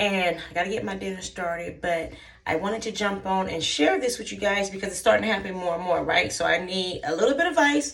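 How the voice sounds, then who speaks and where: A woman races along at a very fast pace in a put-on character voice. Her tone is raspy, at a medium pitch. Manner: talking fast.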